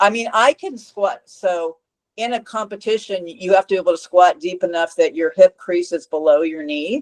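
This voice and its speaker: A woman with a plain, everyday voice speaks at a moderate pace in a medium pitch with ordinary pitch variation, in a dry, close sound with no echo. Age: 60s. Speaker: fitness coach. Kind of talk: interview.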